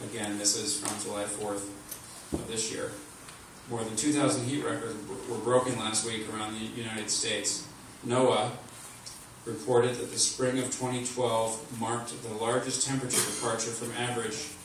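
A man talks at a moderate pace in a monotone, flat delivery, leaving long, frequent pauses. Strong room echo and noticeable background noise fill the recording. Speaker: speaker. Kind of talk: speech reading a written column. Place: hall.

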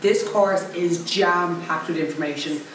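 A woman's fairly low voice at a moderate pace, fairly even in intonation, with audible room echo and light background noise. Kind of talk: interview answer. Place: office.

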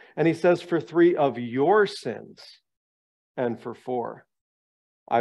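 Quiet surroundings frame this clip. The speaker is a man. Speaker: bible study lecturer. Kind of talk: lecture. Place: meeting room. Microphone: headset.

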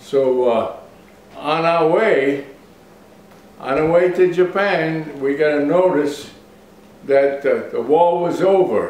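Amid audible room echo, a man with a high pitch and ordinary pitch variation speaks at a very slow pace, taking long, frequent pauses. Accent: American. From Bristol, Rhode Island, US. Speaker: World War II navy veteran. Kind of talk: oral history interview. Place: kitchen. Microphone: camera far.

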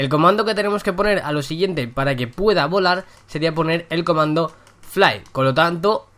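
Bright and sharp in tone, a man's high voice moves at a moderate pace with ordinary pitch variation. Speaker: gaming youtuber. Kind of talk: gameplay commentary. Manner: casual, chatty.

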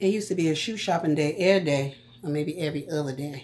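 An animated, playful tone comes from a woman with an American accent whose pitch is very deep and low. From US Northeast. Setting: home, filming herself on a tripod. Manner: chatty, animated, playful.

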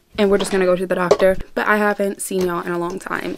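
A woman at a medium pitch talking very fast with ordinary pitch variation over noticeable background noise. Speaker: vlogger. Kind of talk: casual vlog chat. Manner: animated.

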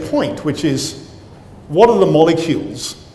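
A man with a British accent speaks at a fairly high pitch, with audible room echo and light background noise. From Britain. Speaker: professor and cell biologist. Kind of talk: lecture. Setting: stage with audience. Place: hall. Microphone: lapel.

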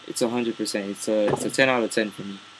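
Audible room echo surrounds a man's voice. His pitch is fairly low, with little movement.

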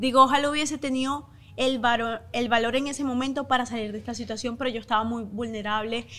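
A woman speaks with a high pitch and a bright, sharp tone. Her pace is fairly quick and her intonation fairly even. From Venezuela. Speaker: content creator and life insurance seller; content creator, life insurance seller. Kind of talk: interview testimony. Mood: earnest, emotional personal story. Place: studio. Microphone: studio mic.

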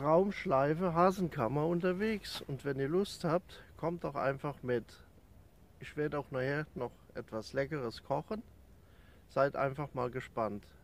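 A man at a fairly slow pace with ordinary pitch variation, long, frequent pauses and a dry sound with no echo. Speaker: hiking vlogger. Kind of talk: casual vlog chat. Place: open country. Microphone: phone near.

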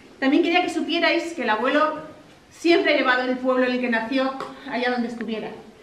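A high-pitched woman at a fairly quick pace, with ordinary pitch variation, audible room echo and light background noise. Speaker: granddaughter giving a family speech. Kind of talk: celebratory speech. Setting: outdoor village party without microphone. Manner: loud. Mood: warm, emotional. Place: hall. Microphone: no microphone; camera far.

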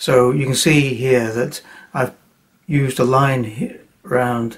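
A somewhat breathy man with fairly even intonation, against a quiet background. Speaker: watercolour painting teacher. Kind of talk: tutorial.

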